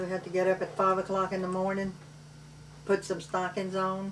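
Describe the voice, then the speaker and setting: Speaking with a Cajun accent at a medium pitch, a woman is heard over noticeable background noise. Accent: Cajun Louisiana English. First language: Cajun French. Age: 70s. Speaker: grandmother telling family memories. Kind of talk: family oral history interview. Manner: loud.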